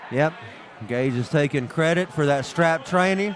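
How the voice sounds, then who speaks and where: A man talks over noticeable background noise. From West Virginia. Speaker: arm wrestling commentator. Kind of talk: live commentary. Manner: animated.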